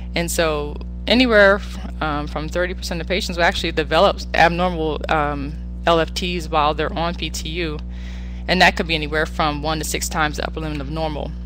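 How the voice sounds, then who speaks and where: A woman talks at a fairly quick pace with music in the background and audible room echo. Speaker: physician. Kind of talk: lecture. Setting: webinar.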